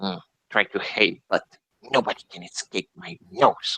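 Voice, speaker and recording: Put-on character voice from a man, moderately paced. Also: fairly low pitch for a man. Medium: actual play. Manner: hesitant, sniffing, mm-ing.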